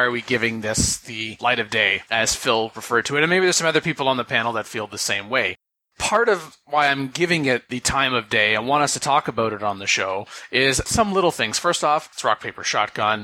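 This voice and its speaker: At a fairly quick pace and with hardly any pauses, a man speaks at medium pitch with lively intonation. It is an ordinary speaking voice. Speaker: podcast co-host. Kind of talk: casual chat.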